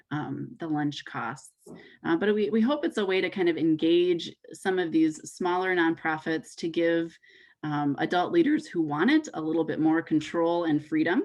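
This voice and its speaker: A woman talks at a moderate pace with a fairly low pitch and ordinary pitch variation. Hers is a plain, everyday voice. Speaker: youth event director. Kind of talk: online info session presentation.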